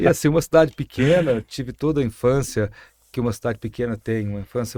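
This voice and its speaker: A man's medium-pitched voice with a dark, mellow tone, dry and close with no echo, on a very clean recording with a silent background. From Brazil, interior of São Paulo state. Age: 60s. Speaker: mayor and physician. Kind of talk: podcast interview.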